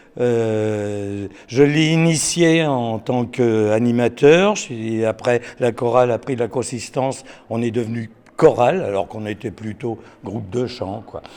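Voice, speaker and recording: This man's pitch is medium. He talks very slowly. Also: ordinary pitch variation. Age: 70s. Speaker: choir director. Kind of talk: interview. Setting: concert hall. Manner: halting.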